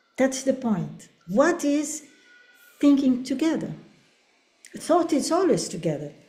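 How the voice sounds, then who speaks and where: A woman speaks at a fairly slow pace in a high, dark and mellow voice with lively intonation, long and frequent pauses, and audible room echo. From Brazil. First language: Portuguese. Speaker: professor. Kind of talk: academic webinar conversation. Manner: halting.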